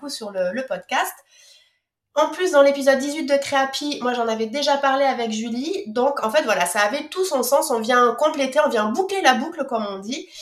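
Her voice high in pitch, a woman talks at a moderate pace with lively intonation. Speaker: podcast host. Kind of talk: casual interview.

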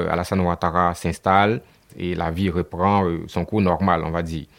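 Monotone and flat in intonation, a man speaks at a fairly slow pace in a very deep, low pitch. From Côte d'Ivoire. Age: 30s. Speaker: journalist. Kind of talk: interview. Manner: halting, repeats words.

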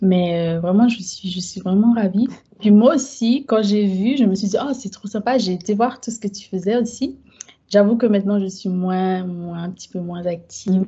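Here a woman has an ordinary speaking voice at medium pitch, with ordinary pitch variation and a moderate pace. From Guadeloupe, Haitian family. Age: 30s. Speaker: book content creator. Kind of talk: casual interview chat.

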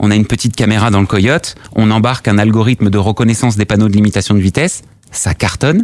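Pitched fairly low, this man talks very fast with fairly even intonation. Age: 30s. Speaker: startup founder. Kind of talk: casual interview. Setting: company office.

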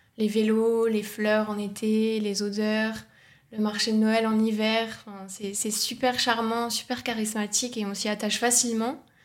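There is audible room echo as a woman with a fairly high pitch speaks at a fairly slow pace in a monotone, flat delivery. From northeastern France, near Luxembourg border. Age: 20s. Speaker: communications agency co-founder. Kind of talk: casual interview.

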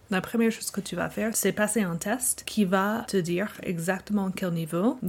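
A woman's somewhat breathy, medium-pitched voice in an American accent, at a fairly slow pace with ordinary pitch variation. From United States. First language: English (speaking French). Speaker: language learning researcher. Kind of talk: interview. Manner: halting with fillers.

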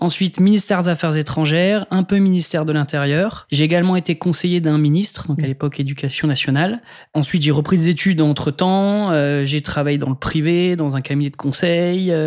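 A man talks in a plain, everyday voice at a fairly high pitch with fairly even intonation. He goes at a fairly quick pace with hardly any pauses, on a very clean recording with a silent background. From northern France, Lille suburbs. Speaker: public affairs director and lecturer. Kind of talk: interview. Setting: studio.

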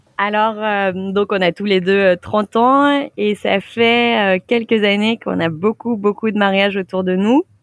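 A woman's medium-pitched voice, fairly even in intonation, at a very slow pace. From France, Saint-Étienne. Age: 30s. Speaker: co-founder of a premarital preparation service. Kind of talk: interview.

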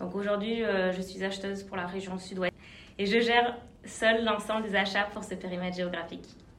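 Monotone, flat intonation at a fairly quick pace, with audible room echo and noticeable background noise. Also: woman, medium pitch for a woman. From Auvergne, France (Clermont-Ferrand). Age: 20s. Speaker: purchasing manager. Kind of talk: interview.

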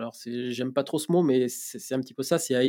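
A man's medium-pitched voice at a moderate pace, with fairly even intonation and a dry, close sound free of echo. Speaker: company founder. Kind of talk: interview. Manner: halting, many fillers and repetitions.

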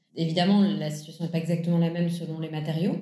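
A woman's fairly low voice with audible room echo. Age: 30s. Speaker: environmental campaigner. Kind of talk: interview.

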